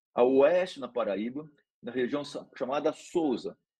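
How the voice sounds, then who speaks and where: The speaker is a man with a normal speaking voice. His intonation is lively. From Brazil, São Paulo state countryside. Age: 60s. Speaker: neurology professor. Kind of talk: lecture.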